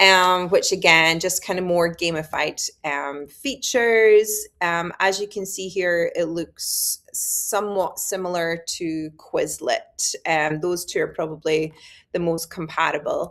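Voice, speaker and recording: In a very clean recording with a silent background, a woman with a Scottish accent speaks very slowly at a fairly low pitch, with fairly even intonation and hardly any pauses. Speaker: high school biology teacher. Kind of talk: conference presentation. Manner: hesitant, many fillers.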